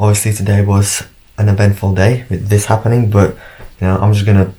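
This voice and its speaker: A quiet man's voice, fairly low and monotone, at a fairly quick pace with flat intonation. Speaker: fitness vlogger. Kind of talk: casual vlog.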